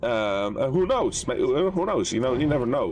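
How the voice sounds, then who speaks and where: A man with a Dutch accent speaks at a moderate pace. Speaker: gaming streamer. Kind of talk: live stream chat. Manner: halting, with fillers.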